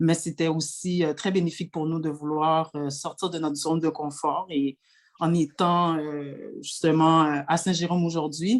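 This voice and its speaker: A woman speaks at a fairly slow pace in a very deep, low voice with monotone, flat intonation. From Quebec, Montreal. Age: 30s. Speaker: municipal election candidate. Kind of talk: panel presentation. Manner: hesitant, many fillers.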